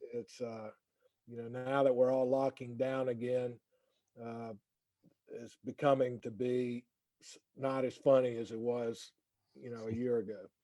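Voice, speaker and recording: With a North Carolina accent, a man speaks in a medium-pitched, dark, mellow voice, monotone and flat, at a fairly slow pace with long, frequent pauses and big swings in loudness. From North Carolina, Winston-Salem. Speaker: lawyer wellness program founder. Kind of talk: casual chat. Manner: doesn't move lips much.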